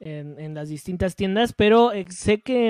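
On a very clean recording with a silent background, a man speaks at a very slow pace with ordinary pitch variation in a dry, close sound with no echo. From Guatemala. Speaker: podcast co-host. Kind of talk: casual chat.

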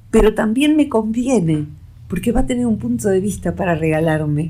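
A woman's voice swings very widely in pitch at a moderate pace, with noticeable background noise and audible room echo. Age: 60s. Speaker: psychologist. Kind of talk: radio interview. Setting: radio studio.

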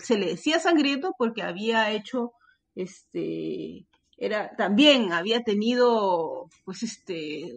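A woman speaks with lively intonation. Her fairly high voice carries vocal fry. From Peru. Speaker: podcaster. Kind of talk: casual chat.

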